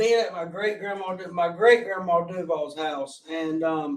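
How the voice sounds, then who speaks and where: Speaking fairly slowly in a strong Southern US accent, the voice has lively intonation. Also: man. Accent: strong rural Southern, mountain country. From US South, Gaston County, North Carolina. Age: 40s. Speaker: guest sharing recovery story. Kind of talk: testimony. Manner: loud.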